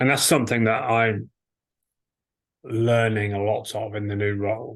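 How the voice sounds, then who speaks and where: A man's somewhat breathy, fairly low-pitched voice with fairly even intonation, set against a quiet background. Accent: English. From England. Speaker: organization leader, guest. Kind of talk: conversational interview.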